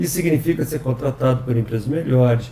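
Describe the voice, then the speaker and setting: An ordinary speaking voice from a man, medium in pitch, with lively intonation and a fairly quick pace. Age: 60s. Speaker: software company president. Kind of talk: podcast interview. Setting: office.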